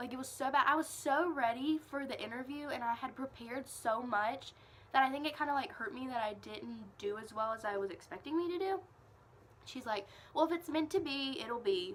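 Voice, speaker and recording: A woman's high-pitched voice moves at a fairly quick pace with lively intonation. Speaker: vlogger, college student. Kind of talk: casual vlog storytelling. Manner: casual, filler-heavy with frequent 'like'.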